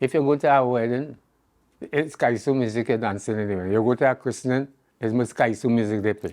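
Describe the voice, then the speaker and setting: The speaker moves at a fairly quick pace with fairly even intonation. The background is quiet. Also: man, medium pitch for a man. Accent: Trinidadian. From Trinidad. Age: 80s+. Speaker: calypsonian. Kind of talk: interview. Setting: at home.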